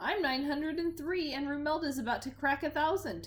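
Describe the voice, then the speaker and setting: A woman's put-on character voice, high-pitched and at a fairly quick pace. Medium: read story. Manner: cheerful, hearty.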